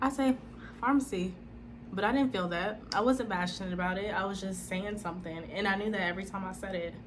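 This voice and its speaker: Room echo is audible around this speaker. She is a woman with a medium pitch. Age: 20s. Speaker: speech-language pathology student and vlogger. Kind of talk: personal testimony vlog. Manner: animated.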